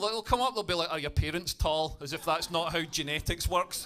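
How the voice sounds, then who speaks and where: Music plays in the background as a man speaks in a Scottish accent at a very fast pace. His voice is raised and projected, his tone animated. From Scotland, Dumfries. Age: 40s. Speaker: stand-up comedian. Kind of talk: stand-up. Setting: stage with audience.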